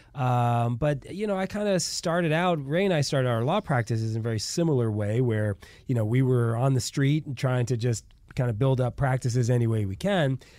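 On a very clean recording with a silent background, a man in a normal speaking voice talks at a moderate pace, medium in pitch, with lively intonation. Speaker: lawyer and radio host. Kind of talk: casual radio interview.

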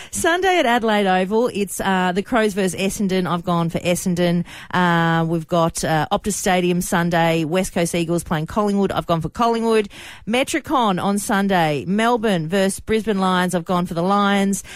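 A woman's medium-pitched voice with an Australian accent, ordinary pitch variation, moderate pace and very even loudness, on a very clean recording with a silent background. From Australia, Sydney and Queensland. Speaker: radio host. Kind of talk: radio segment, casual talk. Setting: radio studio. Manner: animated, laughing.

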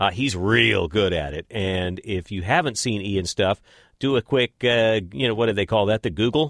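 A man's plain, everyday voice, fairly low in pitch, with an American accent and a moderate pace. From West Texas. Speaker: podcast host. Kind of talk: podcast intro.

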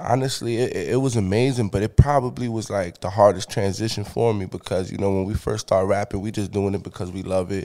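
A man with a New York accent, fairly low in pitch, with a dark, mellow tone, ordinary pitch variation, a fairly quick pace and hardly any pauses, on a very clean recording with a silent background. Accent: New York City. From Bronx, New York. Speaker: rapper. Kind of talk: casual interview.

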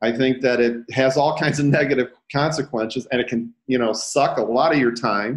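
A man with an ordinary speaking voice talks at a moderate pace and a medium pitch, with ordinary pitch variation. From Detroit, Michigan, US. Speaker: real estate agent and coach. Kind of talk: casual interview. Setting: video call.

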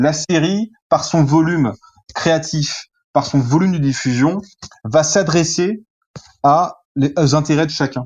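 A man speaks very slowly at a fairly high pitch, with long, frequent pauses. His loudness stays very even and his pitch varies in an ordinary way. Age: 30s. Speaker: journalist and film critic. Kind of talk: interview. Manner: hesitant, with fillers and repetitions.

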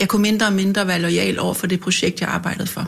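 This woman's voice sits at medium pitch. Her intonation stays fairly even. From North Zealand, Denmark. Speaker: politician and bookseller. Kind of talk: casual chat. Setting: studio.

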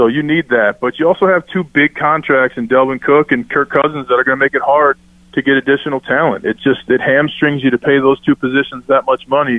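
In a plain, everyday voice, a man with a fairly high pitch talks at a fairly quick pace with fairly even intonation and hardly any pauses. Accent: American. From Minnesota. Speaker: former NFL player. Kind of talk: sports talk radio. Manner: casual.

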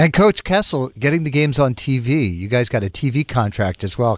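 A man with a plain, everyday voice of medium pitch talks at a fairly quick pace with lively intonation and hardly any pauses. The sound is dry and close, with no echo. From Boston, Massachusetts (Charlestown). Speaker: morning radio host. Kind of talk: morning radio show chat.

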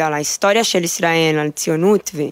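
A woman with a Brazilian accent speaks at a fairly low pitch. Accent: Brazilian Portuguese accent in Hebrew. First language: Portuguese (speaking Hebrew). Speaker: army sergeant, new immigrant. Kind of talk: interview. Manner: halting.

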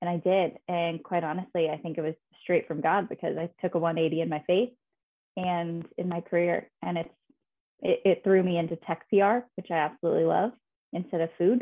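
Speaking with an American accent, a woman has an ordinary speaking voice, a fairly low pitch, fairly even intonation and a moderate pace. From Indiana, US Midwest. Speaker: PR professional in tech. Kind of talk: casual interview.

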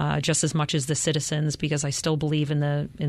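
In an American accent, a woman talks very fast with a very deep, low pitch and monotone, flat intonation. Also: quiet background. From Chicago, south side. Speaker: police lieutenant. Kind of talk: interview.

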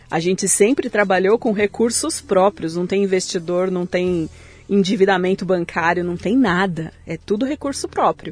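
Music plays in the background as the voice keeps a moderate pace with ordinary pitch variation. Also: woman, medium pitch for a woman. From São Paulo city, Brazil. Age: 40s. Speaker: tech company CEO, entrepreneur. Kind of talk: interview conversation.

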